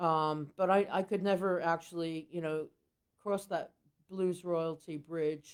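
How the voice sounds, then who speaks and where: In a very clean recording with a silent background, a woman speaks at a fairly slow pace in a fairly low, flat, monotone voice. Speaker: blues singer and harmonica player. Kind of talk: podcast interview. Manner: halting.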